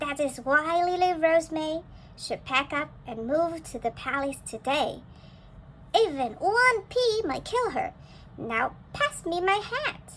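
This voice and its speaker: A woman's squeaky, put-on character voice at an extremely high pitch, with very wide pitch swings, a fairly slow pace and clear background noise. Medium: read story. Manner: pompous, brisk.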